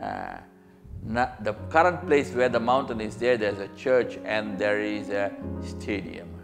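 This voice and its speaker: Music plays in the background as a man speaks fairly slowly, his fairly low pitch showing ordinary variation. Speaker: preacher giving a sermon. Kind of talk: sermon with line-by-line interpreter. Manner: sermon delivery, paced in short phrases for interpretation.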